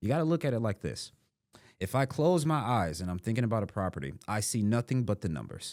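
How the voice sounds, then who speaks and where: Talking at a very fast pace, a man's medium-pitched voice swings very widely in pitch in a very clean recording with a silent background. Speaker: real estate investor. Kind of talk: podcast interview.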